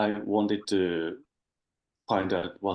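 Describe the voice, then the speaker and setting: Speaking at a very slow pace, a man has a fairly low voice and fairly even intonation. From Japan. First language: Japanese. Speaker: spiritual seeker. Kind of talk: interview. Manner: halting, many fillers.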